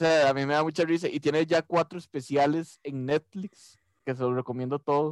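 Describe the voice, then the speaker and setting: A man talks at a moderate pace with a fairly high pitch and an ordinary speaking voice. The recording is very clean with a silent background, and the sound is dry and close with no echo. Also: fairly even intonation. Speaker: podcast co-host. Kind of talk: casual chat.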